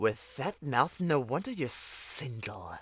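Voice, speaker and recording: Hissing runs through a man's put-on character voice, delivered at a medium pitch and a fairly slow pace. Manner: hissing, sarcastic.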